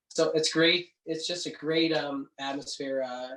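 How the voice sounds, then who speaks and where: A man with a Canadian accent speaks in a monotone, flat intonation. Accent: Canadian, noticeable. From Canada, Cape Breton Island, Nova Scotia. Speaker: singer-songwriter. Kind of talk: casual interview chat.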